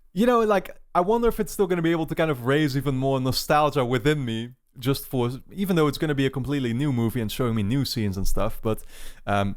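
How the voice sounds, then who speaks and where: Very fast speech in a Dutch accent with lively intonation, on a very clean recording against a silent background. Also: man, fairly high pitch for a man. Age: 20s. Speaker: YouTube movie reactor. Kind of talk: casual talk to camera before a reaction. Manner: hesitant, many fillers.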